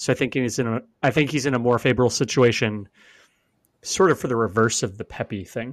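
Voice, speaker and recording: A man with an American accent and an unremarkable speaking voice, medium pitch, ordinary pitch variation and a moderate pace, against a quiet background. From US West Coast (Oregon). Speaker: podcast co-host, soccer fan. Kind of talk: casual sports chat.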